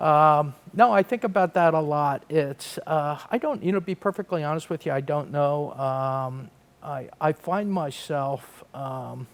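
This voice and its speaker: A man speaks in a plain, everyday voice. His pitch is fairly high. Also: ordinary pitch variation, hardly any pauses. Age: 60s. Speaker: real estate development executive. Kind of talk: podcast interview.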